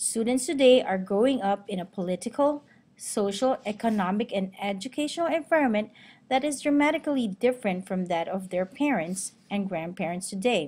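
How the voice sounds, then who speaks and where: Over a silent background in a very clean recording, a woman with a Filipino accent speaks fairly quickly with a fairly high pitch, lively intonation, and a somewhat breathy sound. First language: Tagalog. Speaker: teacher and student. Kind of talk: class presentation. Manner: formal.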